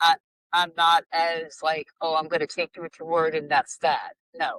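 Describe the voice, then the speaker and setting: A woman's bright, sharp tone stays monotone and flat at a fairly low pitch. She keeps a moderate pace, the sound dry and close with no echo. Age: 60s. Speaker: former coworker, friend. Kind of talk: casual chat. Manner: halting.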